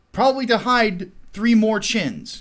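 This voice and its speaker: An animated man with a Chicago accent, in a very clean recording with a silent background. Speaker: YouTube commentator. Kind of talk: casual livestream commentary.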